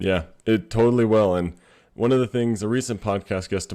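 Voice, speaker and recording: The recording is very clean, with a silent background, and a man talks at a fairly quick pace. He has a normal speaking voice and fairly even intonation. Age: 20s. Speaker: podcast host. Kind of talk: casual interview.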